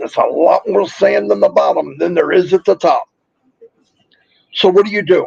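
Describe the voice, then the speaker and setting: A man pausing long and often, recorded dry and close with no echo. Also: moderate pace. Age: 60s. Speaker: online business promoter. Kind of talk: motivational live stream talk. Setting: live stream. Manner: animated.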